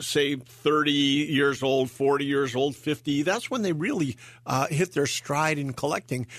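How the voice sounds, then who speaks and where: The man's fairly high voice holds a moderate pace. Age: 60s. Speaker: auctioneer and radio co-host. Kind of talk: casual radio chat. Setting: radio studio. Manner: hesitant, many fillers and repeats.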